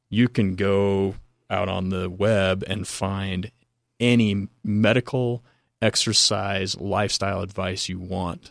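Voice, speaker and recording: In a very clean recording with a silent background, a man speaks at a very slow pace. His fairly low voice stays monotone and flat. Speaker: exercise science professor. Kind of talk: casual interview. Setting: studio.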